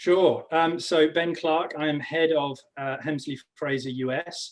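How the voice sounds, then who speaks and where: A man with an English accent and a fairly high pitch talks at a fairly slow pace with fairly even intonation. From England. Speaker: business executive. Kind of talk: panel discussion.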